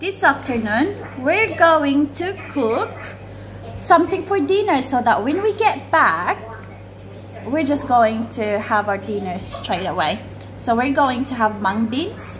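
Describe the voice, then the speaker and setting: A woman with a high pitch talks at a fairly slow pace amid noticeable background noise. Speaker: home cooking vlogger. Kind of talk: casual vlog chat. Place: kitchen. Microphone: phone near.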